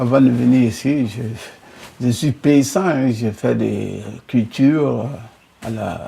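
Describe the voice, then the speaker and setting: A man's very slow voice at medium pitch, with ordinary pitch variation, long, frequent pauses and noticeable background noise. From Mali. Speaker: immigrant worker, former farmer. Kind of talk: interview testimony.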